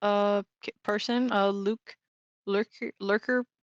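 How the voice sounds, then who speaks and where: A woman talks fairly slowly in a Spanish accent, her intonation monotone and flat. The sound is dry and close, without echo. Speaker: esports tournament commentator. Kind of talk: live commentary. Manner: casual, hesitant with fillers.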